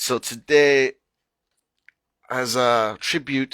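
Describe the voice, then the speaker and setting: A man with an unremarkable speaking voice talks at a medium pitch with fairly even intonation, the sound dry and close with no echo. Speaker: open mic host, spoken word poet. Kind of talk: casual live-stream hosting, talking to audience.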